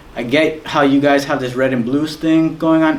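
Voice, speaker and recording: There is audible room echo and noticeable background noise as the man speaks. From Guatemala. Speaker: guest speaker. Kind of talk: testimony. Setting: school talk to students. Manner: fast.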